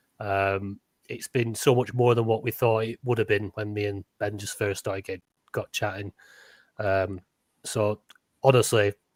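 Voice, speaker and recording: Speaking with a Lancashire accent, a man uses a medium pitch and a monotone, flat intonation at a moderate pace. The recording is very clean with a silent background and has a dry, close sound with no echo. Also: long, frequent pauses. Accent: Lancastrian, northern English. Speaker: podcast co-host. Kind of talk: casual chat. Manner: halting, repeats words.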